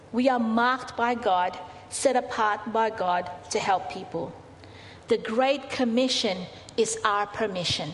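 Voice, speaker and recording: A woman speaks at a fairly slow pace over noticeable background noise. Her fairly high voice has ordinary pitch variation. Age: 40s. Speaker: pastor. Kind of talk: sermon. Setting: church.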